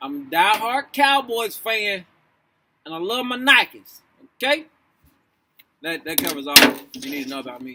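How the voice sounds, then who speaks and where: With a raised, projected voice, a man speaks at a moderate pace in a high pitch, his tone bright and sharp. His pitch swings very widely, and he takes long, frequent pauses. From Louisville, Kentucky. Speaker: author and actor. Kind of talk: casual vlog, then reading aloud. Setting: outdoors. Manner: loud; casual, halting.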